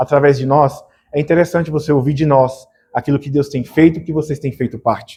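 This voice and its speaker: Speaking at a fairly quick pace, a man uses a fairly high pitch and monotone, flat intonation, his dark, mellow tone somewhat breathy. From Bahia, Brazil. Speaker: missionary. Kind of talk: missionary presentation in church.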